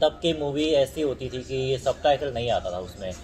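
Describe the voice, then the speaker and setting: A man's medium-pitched voice with a Korean accent, moderate pace and ordinary pitch variation, over music in the background. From South Korea. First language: Korean (speaking Hindi). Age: 20s. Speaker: Korean Hindi speaker, YouTuber. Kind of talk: casual interview.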